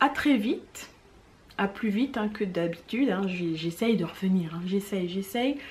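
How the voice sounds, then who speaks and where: Speaking at a fairly slow pace, a woman is heard over noticeable background noise. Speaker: knitting vlogger. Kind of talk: casual chat.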